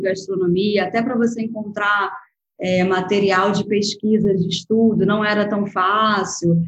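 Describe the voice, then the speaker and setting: A woman speaks at a fairly slow pace. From Brazil, Rio de Janeiro. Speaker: food photographer and agency founder. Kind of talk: interview. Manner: soft, delicate.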